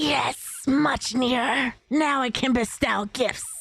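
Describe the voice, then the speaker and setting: A female-sounding, raspy, put-on character voice speaks at a fairly slow pace in a high pitch. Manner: theatrical, acted voice.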